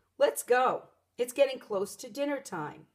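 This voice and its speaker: This woman puts on a character voice at a high pitch. Her intonation is lively. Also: moderate pace. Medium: read story. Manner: booming, courteous.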